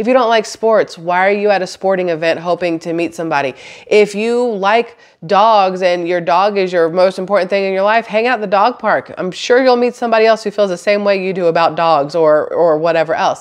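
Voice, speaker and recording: Fairly quick speech from a woman, ordinary in pitch variation. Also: quiet background. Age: 40s. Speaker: vlogger. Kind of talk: casual monologue to camera. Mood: reflective, candid. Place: home room. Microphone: phone near.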